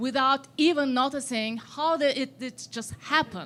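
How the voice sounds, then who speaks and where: Recorded very cleanly against a silent background, a woman with a Turkish accent speaks at a fairly slow pace in a high, bright, sharp voice with lively intonation. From Turkey. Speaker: audience member, exiled scholar. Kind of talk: audience question. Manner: hesitant.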